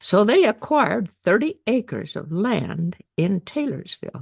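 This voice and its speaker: This woman has an American accent and some vocal fry. She speaks at a fairly slow pace. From Utah. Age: 80s+. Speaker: elderly woman telling her life story. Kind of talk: personal life story narration. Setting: birthday party.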